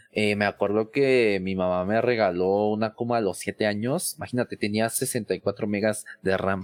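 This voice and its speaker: In a normal speaking voice, a man with fairly low pitch and fairly even intonation talks at a fairly slow pace with hardly any pauses, the sound dry and close with no echo. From Mexico City. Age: 20s. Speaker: tech content creator and IT professional. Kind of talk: casual interview.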